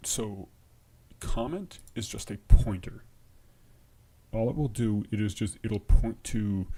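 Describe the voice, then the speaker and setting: A quiet man's voice at a very slow pace, with long, frequent pauses, big swings in loudness, fairly low pitch and ordinary pitch variation. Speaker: programming livestreamer. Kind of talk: live coding stream. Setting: livestream at home. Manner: halting.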